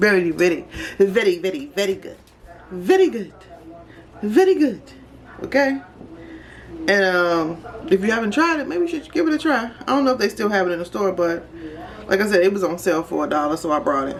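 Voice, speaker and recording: The speech moves at a fairly quick pace, broken by long, frequent pauses. Noticeable background noise can be heard. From Chicago, US. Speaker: vlogger. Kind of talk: casual chat. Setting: home kitchen.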